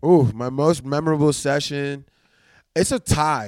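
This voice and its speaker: Recorded very cleanly against a silent background, a man with a New Orleans accent speaks at a fairly high pitch and a moderate pace. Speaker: rapper and producer. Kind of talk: casual interview.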